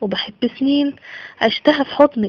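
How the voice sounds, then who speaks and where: The speaker is a woman with an Egyptian accent. Her pitch is high. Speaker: poet. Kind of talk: poetry reading.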